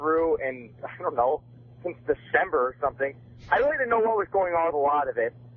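A man speaks at a high pitch with lively intonation. Noticeable background noise runs underneath. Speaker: wrestling fan caller. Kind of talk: casual chat. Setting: phone call.

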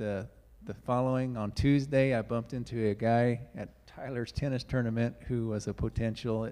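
In a dark, mellow tone, a man speaks at a moderate pace with monotone, flat intonation. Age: 50s. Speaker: congregation member. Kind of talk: church announcements. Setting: church. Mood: grateful, relaxed. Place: church. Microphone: handheld.

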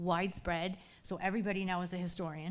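A woman speaks at a moderate pace. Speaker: battlefield guide and historian. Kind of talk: panel discussion. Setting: stage with audience. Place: hall.

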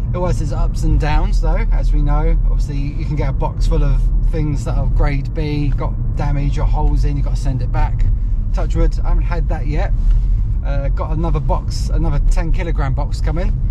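Loud background noise runs under a man speaking at a fairly quick pace. The sound is dry with no echo. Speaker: online reseller vlogger. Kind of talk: casual vlog chat. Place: car. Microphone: phone near.

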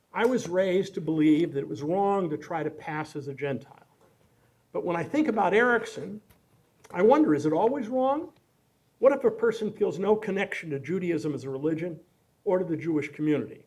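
A man with an American accent talks at a fairly quick pace. His pitch is high for a man, and his intonation is lively. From US Midwest, Kansas City; Missouri. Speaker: law professor and author; law professor. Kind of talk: lecture.

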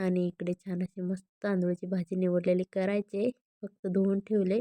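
A woman speaks at a moderate pace in a fairly low, dark, mellow voice with little pitch movement, recorded dry and close with no echo.

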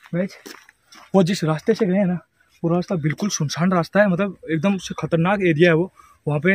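Speaking at a moderate pace, a man uses a high pitch and fairly even intonation, with a dry sound and no echo. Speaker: vlogger. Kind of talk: casual vlog chat. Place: street. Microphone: phone near.

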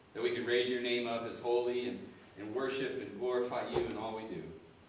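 A man at a moderate pace, with light background noise and audible room echo. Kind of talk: scripture reading and prayer. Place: church. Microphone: camera far.

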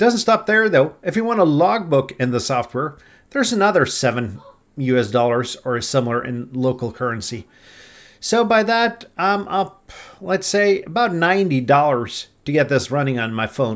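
In a quiet setting, a man talks at a moderate pace, his pitch swinging very widely. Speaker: ham radio hobbyist. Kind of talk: casual vlog chat. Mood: wry about app cost.

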